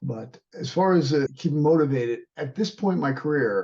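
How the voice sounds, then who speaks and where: With an unremarkable speaking voice, a man talks at a fairly quick pace in a fairly high pitch, his intonation lively. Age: 60s. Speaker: martial arts instructor and fitness trainer. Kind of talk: interview.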